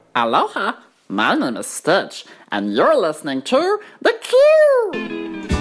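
A female-sounding voice performs a put-on character voice at a fairly slow pace, with faint music in the background. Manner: playful, cheerful.

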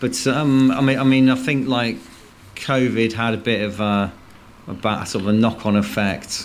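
In a room with audible echo, a man with a medium-pitched voice talks at a moderate pace with fairly even intonation. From English West Midlands, near Worcester. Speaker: blues rock musician. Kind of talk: casual radio interview.

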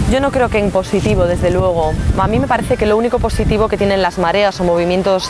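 Noticeable background noise sits behind a woman talking at a fairly quick pace. Her pitch is medium, with ordinary variation. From Galicia, Spain (Pontevedra). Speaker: former party president, politician. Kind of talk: interview. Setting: outdoors.

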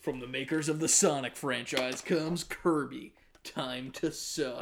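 At a fairly slow pace, a man uses a put-on character voice, fairly high-pitched with fairly even intonation. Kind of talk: movie trailer voice.

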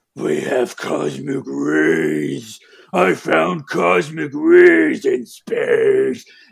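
A man does a put-on character voice that is growling, gravelly and raspy, delivered at a very slow pace. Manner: gravelly, dark and ominous, monster-like.

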